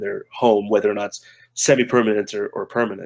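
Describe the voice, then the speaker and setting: In a dry, close recording with no echo, a man with an American accent talks at a very fast pace and a medium pitch. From United States. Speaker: game marketing manager. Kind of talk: casual interview chat. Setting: remote call from Japan. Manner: loud.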